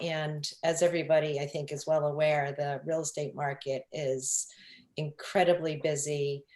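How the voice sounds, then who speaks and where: Very deep and low in pitch, a woman with a Long Island accent speaks at a fairly slow pace. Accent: New York (Long Island). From Long Island, New York. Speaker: real estate broker. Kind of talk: interview. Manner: hesitant, many fillers.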